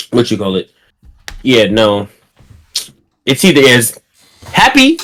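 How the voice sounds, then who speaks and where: A man has a normal speaking voice at a medium pitch. He speaks at a fairly slow pace with ordinary pitch variation. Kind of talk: casual chat.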